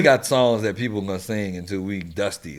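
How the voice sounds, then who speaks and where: A man with a normal speaking voice talks at a fairly quick pace in a fairly low pitch, with ordinary pitch variation. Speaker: radio host, TV host and DJ. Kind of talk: casual podcast conversation about hip hop.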